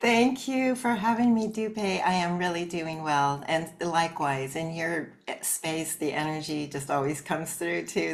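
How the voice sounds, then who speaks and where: In a Californian accent, a woman speaks at a fairly slow pace with a very deep, low pitch and lively intonation. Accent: General American (Californian). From Southern California, Los Angeles. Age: 60s. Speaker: artist and life coach. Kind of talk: interview.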